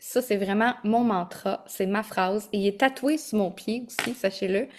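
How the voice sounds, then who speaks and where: A woman speaks with a Quebec accent. Her pitch is fairly high, with ordinary pitch variation. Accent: Québécois French. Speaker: holistic coach and yoga teacher. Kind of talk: online masterclass. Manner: energetic.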